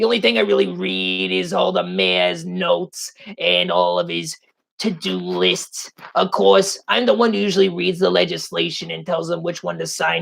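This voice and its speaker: In a put-on character voice, the speaker uses a low pitch at a moderate pace. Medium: game stream. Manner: smug, condescending.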